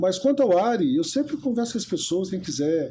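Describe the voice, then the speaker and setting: Noticeable background noise behind a man's moderately paced speech. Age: 70s. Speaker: therapist. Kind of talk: interview. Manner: hesitant fillers.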